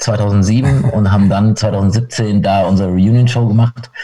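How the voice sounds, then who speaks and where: Speaking at a very slow pace, a man shows ordinary pitch variation against noticeable background noise. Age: 40s. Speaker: punk rock guitarist. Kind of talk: casual interview. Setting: video call.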